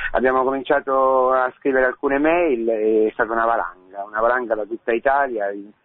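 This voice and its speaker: A man with an unremarkable speaking voice, medium pitch, fairly even intonation and a fairly quick pace. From Rome, Italy. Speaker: priest. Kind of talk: radio interview testimony.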